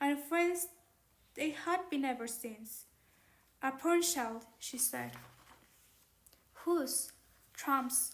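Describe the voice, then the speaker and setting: Speaking very slowly, a woman has a high pitch and ordinary pitch variation. She talks with a non-native accent. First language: not English. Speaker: audiobook narrator. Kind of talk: reading aloud. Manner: halting.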